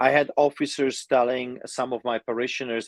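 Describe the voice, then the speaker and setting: A man with a non-native accent, medium pitch and ordinary pitch variation, at a moderate pace, in a dry, close sound with no echo against a quiet background. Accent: foreign. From immigrant to Canada from another country. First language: not English. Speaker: pastor. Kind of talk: interview. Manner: halting, many fillers.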